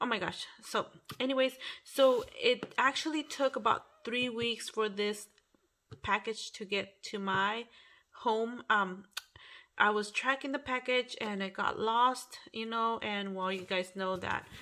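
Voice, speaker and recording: A woman's bright, sharp tone sits at a fairly high pitch, moving at a fairly slow pace with ordinary pitch variation. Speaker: craft YouTuber. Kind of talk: casual unboxing chat. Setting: at home at night. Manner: quiet, low volume; hesitant, many fillers. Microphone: phone near.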